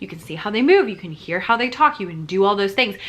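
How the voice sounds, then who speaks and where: Over noticeable background noise, a woman speaks in an animated tone at a medium pitch. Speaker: teacher business youtuber. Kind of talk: tutorial. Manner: fast.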